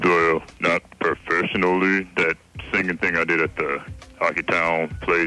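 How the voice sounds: Over music in the background, a man with a very deep, low pitch talks at a moderate pace.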